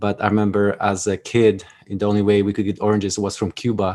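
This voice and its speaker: A man with a Polish accent, a fairly low pitch and monotone, flat intonation, on a very clean recording with a silent background. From Poland. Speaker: Army veteran and author. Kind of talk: podcast interview, personal story. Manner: halting, many repeated words.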